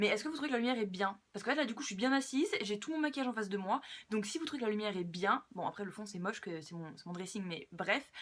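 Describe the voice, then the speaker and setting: Lively in intonation, a woman with a fairly high voice speaks at a very fast pace. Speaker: beauty vlogger. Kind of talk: casual skincare tutorial. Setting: filming at home at her dressing table. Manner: hesitant, many fillers.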